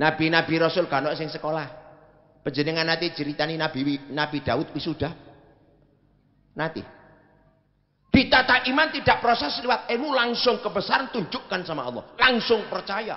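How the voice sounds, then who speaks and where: A man's high-pitched, animated voice at a moderate pace, with very wide pitch swings. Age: 70s. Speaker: Islamic preacher and professor; Islamic preacher, professor. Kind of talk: sermon. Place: stage. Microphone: handheld.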